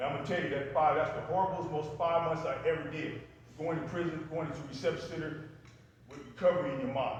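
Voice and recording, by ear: A man speaks at a fast pace with a fairly high pitch. There is strong room echo. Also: fairly even intonation, few pauses.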